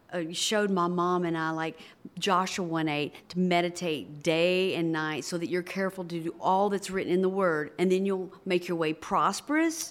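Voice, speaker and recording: Speaking at a fairly slow pace, a woman with an American accent has an unremarkable speaking voice and ordinary pitch variation. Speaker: pastor. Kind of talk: interview.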